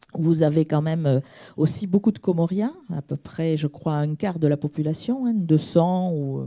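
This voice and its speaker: In a southern French accent, a woman with a very deep, low pitch and a dark, mellow tone talks at a moderate pace with lively intonation, the sound dry and close with no echo. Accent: southern French (Midi). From southern France (Midi). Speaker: audience member asking a question. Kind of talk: audience question at a conference. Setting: conference hall, audience microphone. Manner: hesitant, many fillers.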